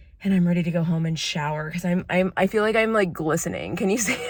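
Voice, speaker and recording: A speaker with an American accent uses ordinary pitch variation. Room echo is audible, along with noticeable background noise. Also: woman. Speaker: vlogger, former TV news reporter. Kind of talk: casual vlog. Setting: gym bathroom.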